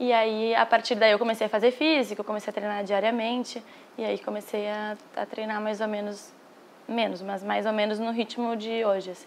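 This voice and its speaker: A woman speaks in a gaúcho accent at a fairly high pitch. Her intonation is monotone and flat. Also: moderate pace. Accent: Brazilian gaúcho Portuguese. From southern Brazil, Porto Alegre. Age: 20s. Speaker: professional padel player. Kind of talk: interview.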